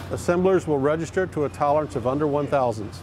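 With music in the background and a dry sound free of echo, a man talks fairly quickly with lively intonation. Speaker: company guide on factory tour. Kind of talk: guided tour explanation.

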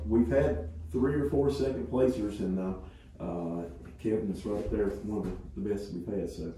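The speech comes at a fairly slow pace, with audible room echo and light background noise. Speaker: high school agriculture teacher. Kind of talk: informal remarks at meeting. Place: meeting room. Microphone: camera far.

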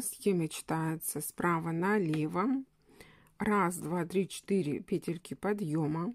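Very slowly, a woman speaks at a fairly low pitch. Her pitch variation is ordinary. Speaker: crochet instructor. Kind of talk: tutorial.

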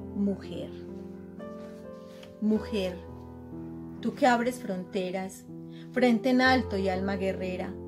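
With an Antioquian accent, a woman speaks at a very slow pace, pausing long and often. Clear music sounds in the background. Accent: Colombian, Antioquia. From Colombia. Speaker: poet. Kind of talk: poetry reading. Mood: solemn, heartfelt. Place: home room. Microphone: webcam.

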